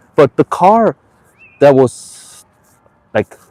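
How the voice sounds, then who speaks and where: With a Korean accent, a man talks at a fairly slow pace with very wide pitch swings in a dry, close sound with no echo. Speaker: live streamer. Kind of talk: casual live stream monologue. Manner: halting, many false starts.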